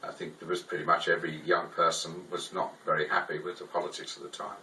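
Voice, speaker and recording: A man with an English accent speaks at a very fast pace, with big swings in loudness. Noticeable background noise is present. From England, Liverpool. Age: 60s. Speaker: artist. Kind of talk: interview. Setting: art studio. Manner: halting, many fillers.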